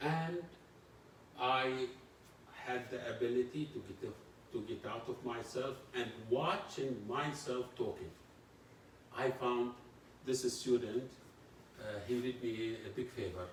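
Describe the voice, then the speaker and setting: Over noticeable background noise and audible room echo, a man talks at a very slow pace in fairly even intonation, with long, frequent pauses. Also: medium pitch for a man. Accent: Arabic. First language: Arabic. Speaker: university lecturer. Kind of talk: lecture.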